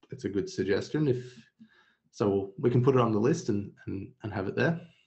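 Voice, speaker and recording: A man talks fairly quickly at a medium pitch, with lively intonation. His voice is somewhat breathy. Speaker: software webinar host. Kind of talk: webinar Q&A. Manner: low-energy.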